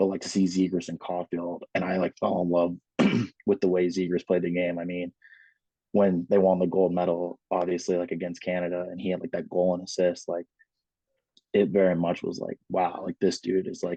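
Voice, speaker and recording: Very deep and low, a man's dark, mellow voice moves at a moderate pace with monotone, flat intonation. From Alaska. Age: 20s. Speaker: hockey player and army veteran. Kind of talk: casual chat.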